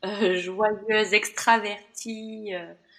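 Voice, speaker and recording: A woman of medium pitch talks in a monotone, flat intonation. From France, Bordeaux. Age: 40s. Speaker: podcast guest sharing burnout story. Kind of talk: interview, personal testimony. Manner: hesitant, many fillers.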